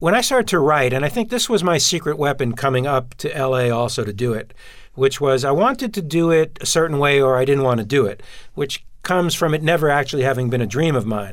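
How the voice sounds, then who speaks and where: With an American accent, a man talks at a very fast pace, his fairly high pitch moving in lively intonation. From Brooklyn, New York. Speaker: television writer and producer. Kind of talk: interview.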